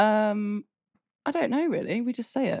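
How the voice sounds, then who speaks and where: The delivery from this woman runs at a fairly brisk rate. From Derby, England.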